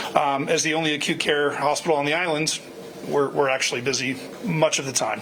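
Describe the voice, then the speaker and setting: There is noticeable noise behind this man's voice. The room adds an audible echo. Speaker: hospital medical director. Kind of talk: town hall address. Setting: virtual town hall. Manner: loud.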